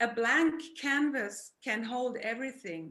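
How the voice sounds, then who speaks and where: Her voice is fairly high and bright, with a sharp tone, as this woman keeps her intonation fairly even. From Germany. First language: German. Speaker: therapist and artist. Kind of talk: art presentation. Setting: video call.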